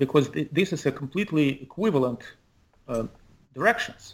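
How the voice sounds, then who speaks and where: This man speaks at a fairly quick pace with lively intonation. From Ukraine (Kyiv). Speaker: author and physicist. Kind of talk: interview. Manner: halting.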